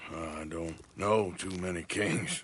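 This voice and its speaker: This man puts on a character voice that is raspy and very deep, delivered in a flat monotone. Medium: video game. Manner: drawling, plain-spoken.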